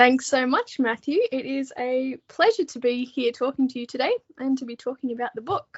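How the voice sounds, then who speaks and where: Her pitch high, a woman with an Australian accent talks with hardly any pauses. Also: ordinary pitch variation, moderate pace, big swings in loudness. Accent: Australian, moderate. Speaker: author and book editor. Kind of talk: interview.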